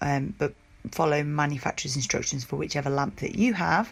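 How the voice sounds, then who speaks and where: The speaker's voice has vocal fry. The pace is moderate. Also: woman. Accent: British. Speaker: nail technician. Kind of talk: tutorial.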